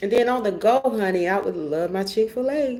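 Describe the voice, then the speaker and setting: A woman talks with a Georgia accent at a moderate pace. Her tone is animated, with ordinary pitch variation. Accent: Georgia Southern. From US South, rural Georgia. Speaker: vlogger. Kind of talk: casual personal vlog monologue. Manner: animated, chatty.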